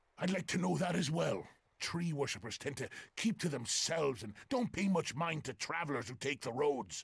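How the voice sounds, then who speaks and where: Using a put-on character voice, a man talks at a moderate pace in a fairly high pitch. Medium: video game. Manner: gruff, grumbling.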